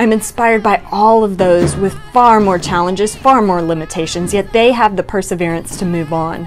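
Over music in the background, a woman talks at a moderate pace with ordinary pitch variation. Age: 30s. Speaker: person with young onset Parkinson's, single mom. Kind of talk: inspirational personal narration.

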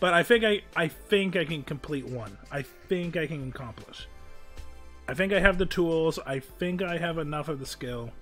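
Over music in the background, a man with a fairly high pitch and ordinary pitch variation speaks with big swings in loudness. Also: fairly slow pace. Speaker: streamer, voice actor. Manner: casual, rambling.

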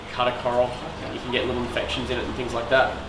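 A man talks with an Australian accent. There is noticeable background noise behind him. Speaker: aquarium hobby demonstrator. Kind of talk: tutorial. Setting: aquarium shop. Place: shop. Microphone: camera far.

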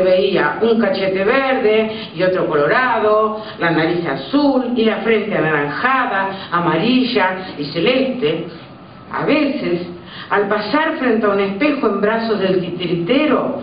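Amid light background noise and audible room echo, a woman speaks at a very slow pace. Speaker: storyteller reading at an event. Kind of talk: story reading. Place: stage.

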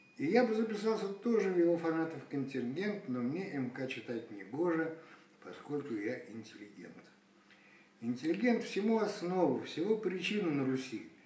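A man with a high voice speaks at a moderate pace, his pitch swinging very widely. Room echo is audible over light background noise. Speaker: poet. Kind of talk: poetry reading. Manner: ironic, mocking. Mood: wry, ironic. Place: home room. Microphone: phone near.

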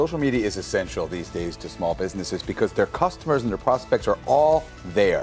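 A man talks at a fairly quick pace with hardly any pauses while faint music plays in the background. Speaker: keynote speaker. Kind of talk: interview answer. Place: studio. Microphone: lapel.

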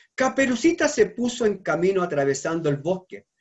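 What you hear is plain reading aloud.

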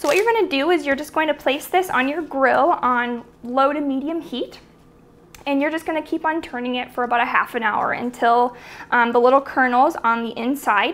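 The speaker is a woman with a high pitch. She talks at a moderate pace with ordinary pitch variation. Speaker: home cook host. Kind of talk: tutorial. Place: kitchen.

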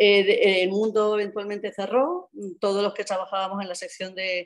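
A woman at a moderate pace, over a quiet background. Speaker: journalist and economist; newspaper editor, panelist. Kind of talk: panel talk. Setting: video call. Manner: halting. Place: home room. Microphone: video call.

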